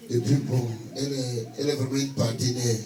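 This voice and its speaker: Amid noticeable background noise and audible room echo, a man with an African French accent speaks in a monotone, flat way. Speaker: pastor. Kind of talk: sermon. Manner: halting.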